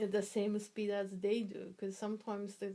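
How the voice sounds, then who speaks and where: Her tone is dark and mellow. The woman's medium-pitched voice stays monotone, with flat intonation. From Japan. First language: Japanese. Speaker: interviewee, immigrant mother. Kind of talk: interview. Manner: halting, with many fillers.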